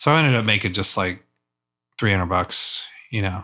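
With an American accent, a man speaks at a fairly low pitch in a bright, sharp tone on a very clean recording with a silent background. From US South. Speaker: photojournalist. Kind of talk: casual chat. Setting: studio.

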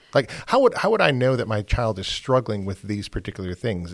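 A man talks at a fairly quick pace in a fairly low pitch. His is a normal speaking voice. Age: 50s. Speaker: podcast host. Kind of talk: interview.

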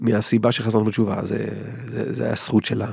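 This is a man speaking. He has an English accent. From England. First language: English (speaking Hebrew). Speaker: violinist. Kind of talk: interview. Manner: halting.

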